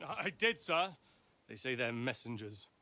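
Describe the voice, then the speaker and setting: A man puts on a gruff character voice at medium pitch. He moves at a moderate pace with lively intonation. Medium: video game. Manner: gruff, rude.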